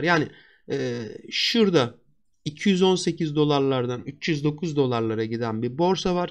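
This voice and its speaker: Over a quiet background, a man with an unremarkable speaking voice talks at a fairly high pitch. His intonation is lively. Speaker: stock market analyst. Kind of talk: market analysis tutorial. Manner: conversational.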